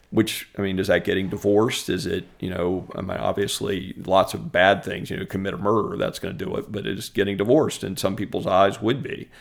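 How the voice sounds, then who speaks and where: In a normal speaking voice, a man with an American accent talks fairly quickly at a fairly low pitch, with ordinary pitch variation and hardly any pauses. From central Virginia (Richmond, Ashland). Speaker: lawyer and adjunct law teacher. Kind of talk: casual interview.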